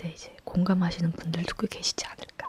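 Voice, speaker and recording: Someone whispers in a calm tone. Noticeable background noise can be heard. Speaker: ASMR creator. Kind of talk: whispered talking ASMR chat. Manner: whispered; soft-spoken, calm.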